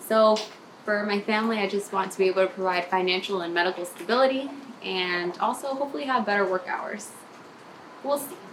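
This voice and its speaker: An upbeat woman with an American accent, medium pitch, ordinary pitch variation and a fairly quick pace, over noticeable background noise. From Maryland, US. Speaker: nurse. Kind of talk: video application pitch. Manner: casual, upbeat.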